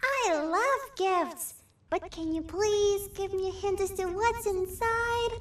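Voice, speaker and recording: The speaker uses a put-on character voice at an extremely high pitch, talking at a fairly slow pace. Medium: video game.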